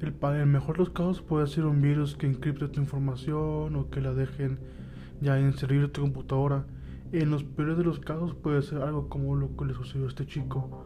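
A man delivers his words at a fairly quick pace. Behind him, music can be heard. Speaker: podcast host and storyteller. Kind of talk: dramatic narration of a horror story, first-person creepypasta read aloud. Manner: tense, suspenseful, ominous storyteller.

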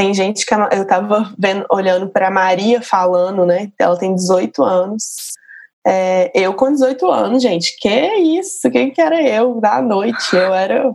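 An unremarkable speaking voice with lively intonation, a fairly slow pace and very even loudness. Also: woman, medium pitch for a woman. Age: 30s. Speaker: journalist. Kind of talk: casual chat.

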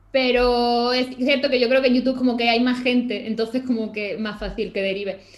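A woman speaks in a high, flat monotone at a fairly quick pace. She hardly pauses, and background noise is noticeable. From Málaga, Andalusia, Spain. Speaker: illustrator and YouTuber. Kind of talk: casual interview chat.

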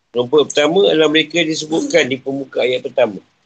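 Pitch moves with ordinary variation here. The voice is a man's. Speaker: Islamic religious teacher. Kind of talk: religious lecture (tafsir class). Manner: conversational, informal asides.

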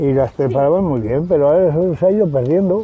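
The intonation is lively, with music playing in the background. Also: man. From Spain, Salamanca province. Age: 70s. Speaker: rural villager. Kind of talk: oral history interview.

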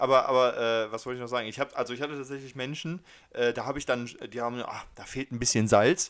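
On a very clean recording with a silent background, a man races along at a very fast pace, keeping fairly even intonation while his loudness swings widely. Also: medium pitch for a man. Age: 20s. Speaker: podcast co-host. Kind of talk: casual chat.

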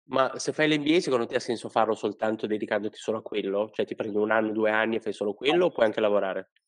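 Recorded dry and close with no echo, a man with a medium-pitched voice and ordinary pitch variation talks at a very fast pace with hardly any pauses. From Italy, Liguria (Sanremo). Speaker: podcast host, headhunter. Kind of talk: casual interview.

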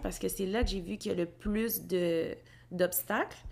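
Speaking at a fairly slow pace, a woman with a medium pitch and vocal fry uses ordinary pitch variation. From Quebec, Gatineau. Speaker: graduate student in organizational development. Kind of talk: casual chat.

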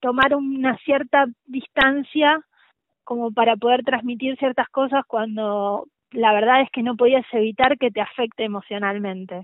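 Her voice is high, and the woman talks at a fairly slow pace with ordinary pitch variation. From Argentina, La Pampa. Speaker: journalist. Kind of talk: interview.

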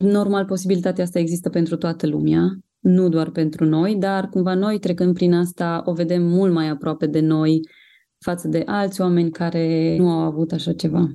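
The very clean recording has a silent background and a woman at a moderate pace. Her fairly low voice is dark and mellow, with monotone, flat intonation. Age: 30s. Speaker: mother of a child with cancer. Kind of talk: testimony.

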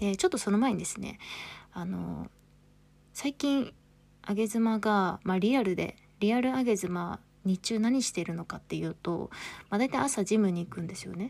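A woman speaks at a moderate pace in a medium, somewhat breathy voice with ordinary pitch variation. She leaves long, frequent pauses, and the recording is very clean with a silent background. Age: 30s. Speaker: podcast host. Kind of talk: casual monologue. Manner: chatty, frequent fillers.

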